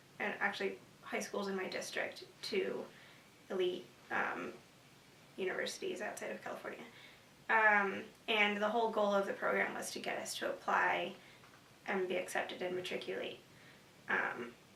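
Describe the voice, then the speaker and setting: A woman with an American accent speaks at a moderate pace, with long, frequent pauses. Background noise is noticeable, and room echo can be heard. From US West Coast, San Francisco Bay Area. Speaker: university student. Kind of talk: interview. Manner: hesitant, many fillers.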